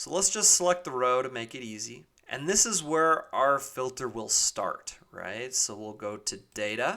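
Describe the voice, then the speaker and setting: With a normal speaking voice at a medium pitch, a man talks at a fairly slow pace with hardly any pauses, lively intonation and big swings in loudness. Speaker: software tutorial creator. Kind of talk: tutorial. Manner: casual.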